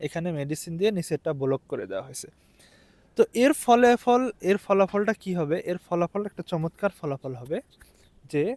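A man speaks with a high pitch and lively intonation, his loudness swinging widely. The sound is dry and close, with no echo. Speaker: video blogger, PhD student. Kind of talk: vlog explainer.

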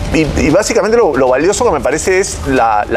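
A man talks here. Behind him, music plays in the background. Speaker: sports commentator, guest. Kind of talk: commentary. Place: studio.

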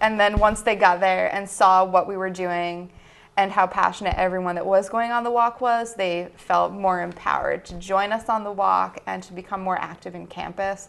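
A woman with a medium pitch talks at a moderate pace with hardly any pauses, monotone, flat intonation and big swings in loudness. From Livermore Falls, Maine; Maine. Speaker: student peace activist; guest. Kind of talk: interview. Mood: earnest, friendly. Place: studio.

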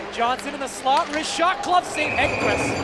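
A man talks at a fairly slow pace while loud background noise fills the recording. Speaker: hockey play-by-play commentator. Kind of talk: live hockey commentary.

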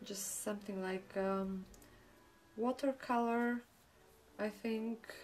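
A woman's fairly high voice with a non-native accent, very slow pace, long and frequent pauses, and fairly even intonation. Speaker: painting tutor. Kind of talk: painting tutorial talk to camera. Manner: hesitant, with fillers.

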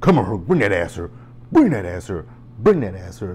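Using a put-on character voice, a man with a fairly low pitch speaks at a moderate pace with lively intonation and big swings in loudness over light background noise. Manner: creepy, leering.

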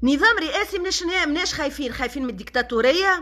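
A woman speaks in a raised, projected voice with a Tunisian accent. Her tone is bright and sharp, and the background is quiet. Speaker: social media personality; social media commentator. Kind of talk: live stream monologue. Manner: animated. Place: home room. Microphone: phone near.

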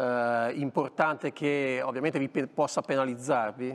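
A man speaks in an ordinary speaking voice at a moderate pace. His pitch sits fairly high. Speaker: TV motoring show host. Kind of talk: TV talk show interview. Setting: TV studio. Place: studio. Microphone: lapel.

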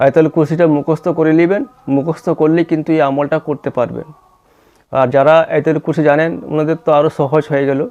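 The man's fairly high voice stays monotone, with flat intonation. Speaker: religious healing video host. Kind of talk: tutorial.

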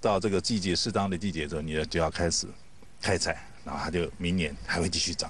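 A man speaks very fast in a very deep, low voice with ordinary pitch variation, the sound dry with no echo over light background noise. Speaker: interviewee. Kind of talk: interview answer. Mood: enthusiastic praise of produce. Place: garden. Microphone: handheld.

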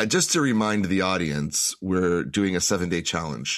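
The tone is enthusiastic, carried by lively intonation. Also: man. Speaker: podcast host. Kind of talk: casual interview. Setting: video call. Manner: halting, repeats words.

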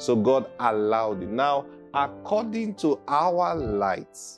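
Clear background music under a man's speech. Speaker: preacher. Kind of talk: sermon. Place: studio. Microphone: lapel.

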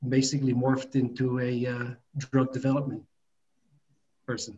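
With an American accent, a man speaks at a moderate pace in a somewhat breathy, dark, mellow tone. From New York. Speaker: biotech founder and dentist. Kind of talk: business presentation. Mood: calm, explanatory. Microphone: video call.

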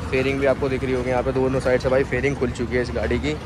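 A man talks at a fairly quick pace with ordinary pitch variation. The sound is dry with no echo, and there is noticeable background noise. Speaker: motovlogger. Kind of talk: casual vlog chat. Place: street. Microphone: phone near.

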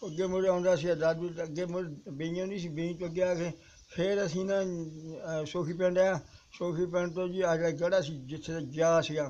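A man's high-pitched voice with a dark, mellow tone and monotone, flat intonation. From Punjab, Jalandhar district; Punjab. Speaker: partition survivor. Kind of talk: oral history interview. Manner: halting. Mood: sombre recollection. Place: street. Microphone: phone near.

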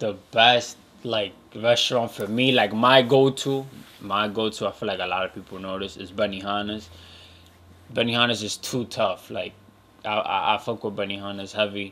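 At a moderate pace, a man with a fairly low pitch talks in a bright, sharp tone with ordinary pitch variation. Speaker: podcast host. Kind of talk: casual podcast monologue. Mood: relaxed, enthusiastic. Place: home room. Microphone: studio mic.

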